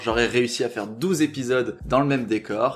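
Music playing behind a man's fairly quick speech. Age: 20s. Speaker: podcaster and YouTuber. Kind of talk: storytelling monologue. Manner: animated.

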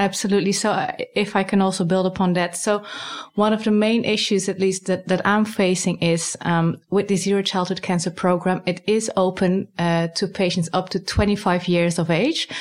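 A woman with a Dutch accent at a moderate pace, in a monotone, flat intonation and very even loudness. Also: medium pitch for a woman. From Netherlands. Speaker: cancer research scientist. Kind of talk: interview.

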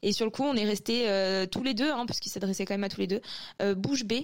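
A woman's plain, everyday voice, fairly high in pitch with fairly even intonation, on a very clean recording with a silent background. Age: 20s. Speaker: anonymous testimony contributor. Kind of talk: testimony.

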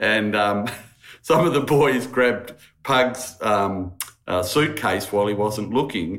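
With an Australian accent, a man speaks at a fairly low pitch with ordinary pitch variation. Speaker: podcast host.

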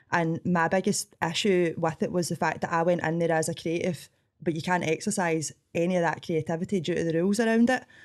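In a strong Scottish accent, a woman with a fairly low pitch speaks at a very fast pace with fairly even intonation and very even loudness. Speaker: coffee shop owner and cooking show contestant. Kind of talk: interview conversation.

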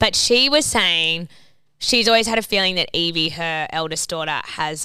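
A woman with an Australian accent, bright and sharp in tone, fairly low in pitch with ordinary variation, at a moderate pace on a very clean recording with a silent background. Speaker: podcast co-host. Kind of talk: casual chat.

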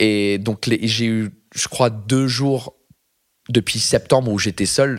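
Very slow speech in an English accent comes with monotone, flat intonation on a very clean recording with a silent background. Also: man. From England. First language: English (speaking French). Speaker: comedian. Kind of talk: casual chat. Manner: halting.

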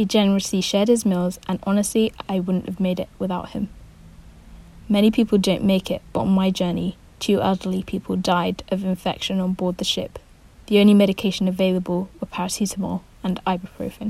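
At a fairly quick pace, a woman speaks at a medium pitch in a somewhat breathy, monotone voice with flat intonation. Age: 20s. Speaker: writer. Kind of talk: reading aloud.

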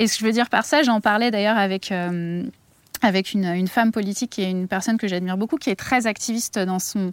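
A woman talks at a very fast pace. Her pitch sits in the medium range with ordinary pitch variation. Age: 30s. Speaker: activist, head of a petition platform. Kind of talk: interview.

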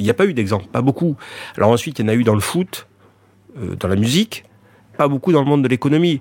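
The delivery is very fast, broken by long, frequent pauses. The sound is dry and close, with no echo. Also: man, medium pitch for a man. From France, child of immigrants. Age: 60s. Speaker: entrepreneur and rugby club owner. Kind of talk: interview. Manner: halting.

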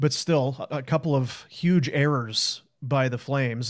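A man in a normal speaking voice talks at medium pitch with fairly even intonation. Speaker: hockey podcast host. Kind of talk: casual post-game show chat.

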